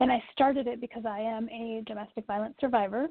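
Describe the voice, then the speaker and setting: Here a woman talks at a moderate pace. Her intonation stays fairly even. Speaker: domestic abuse survivor coach. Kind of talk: interview.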